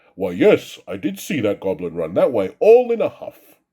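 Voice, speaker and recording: Using a put-on character voice, a man at a medium pitch keeps a moderate pace. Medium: read story.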